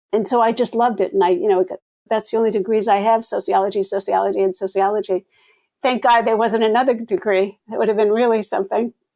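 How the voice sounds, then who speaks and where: Very fast and fairly high-pitched, a woman with an American accent speaks in a dark, mellow tone with fairly even intonation. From US Northeast, Rhode Island. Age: 70s. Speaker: sociology professor and founder. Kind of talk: interview.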